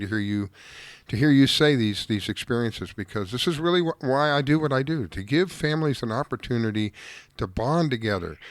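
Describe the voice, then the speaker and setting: The recording is very clean and the background silent. A man with an ordinary speaking voice talks fairly quickly, his intonation lively. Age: 60s. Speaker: fishing radio show host. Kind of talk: casual radio talk.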